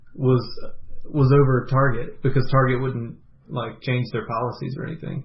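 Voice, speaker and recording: A man with an American accent, medium pitch, and a somewhat breathy voice at a fairly slow pace. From US South. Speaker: podcast co-host. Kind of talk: casual chat.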